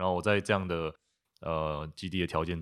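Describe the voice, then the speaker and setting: A man with a very deep, low pitch speaks at a moderate pace in a flat monotone, on a very clean recording with a silent background. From Taiwan, Taipei. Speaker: recent architecture graduate. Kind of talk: casual interview. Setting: guesthouse in Tainan.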